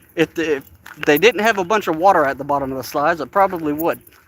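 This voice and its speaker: Talking at a very fast pace, a man with an Appalachian accent has a fairly high pitch and ordinary pitch variation. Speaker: vlogger. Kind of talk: live stream walking vlog. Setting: outdoors in a park. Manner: casual, chatty.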